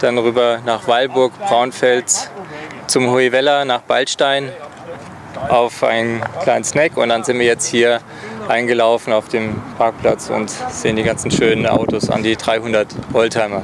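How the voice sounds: At a moderate pace, a man speaks at medium pitch with little pitch movement over faint background noise.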